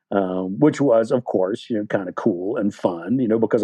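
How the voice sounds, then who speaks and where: This man has a normal speaking voice and an American accent. His pitch is fairly low with ordinary variation, and his pace is fairly quick. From West Virginia, USA. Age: 60s. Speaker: novelist. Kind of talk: interview answer. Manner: casual, rambling.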